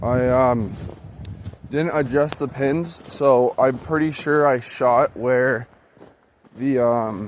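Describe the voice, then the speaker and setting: Noticeable background noise sits behind a man at a medium pitch with fairly even intonation. He goes very slowly, with long, frequent pauses. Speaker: outdoors YouTuber reviewing a bow. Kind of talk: casual tutorial. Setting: outdoors. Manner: loud, near yelling.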